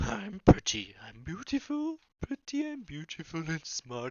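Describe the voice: A gruff, put-on character voice at a middle pitch moves at a fairly slow pace with very wide pitch swings.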